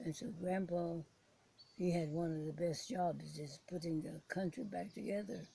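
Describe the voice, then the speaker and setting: Here a woman talks at a moderate pace, fairly low in pitch with ordinary pitch variation. Her tone is dark and mellow, and somewhat breathy. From Philippines. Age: 80s+. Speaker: war survivor, former prisoner of war. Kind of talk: interview answer.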